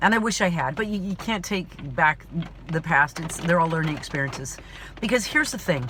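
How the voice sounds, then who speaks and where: A woman speaks in an animated tone with very wide pitch swings. Noticeable background noise is present. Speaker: actor and vlogger. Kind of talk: personal vlog monologue. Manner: loud.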